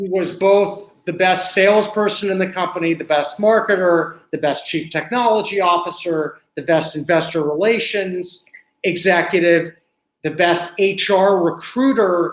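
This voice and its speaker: Speaking at a fairly slow pace, a man with an American accent has a high pitch and fairly even intonation. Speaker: author and friend of a 9/11 victim. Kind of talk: interview.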